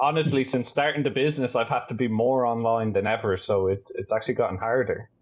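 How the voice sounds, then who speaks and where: A man talks at a very fast pace with hardly any pauses. His pitch is medium, with ordinary variation. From Ireland, Dublin. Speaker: astrophotographer and optics business owner. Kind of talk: casual chat.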